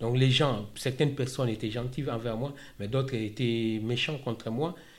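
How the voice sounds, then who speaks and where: A man speaks at medium pitch and a fairly slow pace, with fairly even intonation. His voice is somewhat breathy, and room echo is audible. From DR Congo, Kinshasa. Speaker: asylum seeker turned employee. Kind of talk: testimony. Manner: halting.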